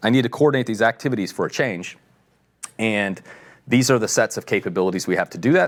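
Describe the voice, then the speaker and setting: A man with a fairly low pitch talks at a very fast pace on a very clean recording with a silent background. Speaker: tech company executive presenting a product. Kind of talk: technical product presentation.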